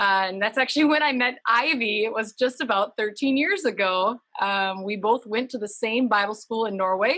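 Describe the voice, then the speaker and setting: With an Upper Midwest accent, a woman speaks at a moderate pace with hardly any pauses. Her bright, sharp tone sits at a fairly high pitch with ordinary pitch variation. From Minnesota, US. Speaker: humanitarian nonprofit worker. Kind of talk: interview.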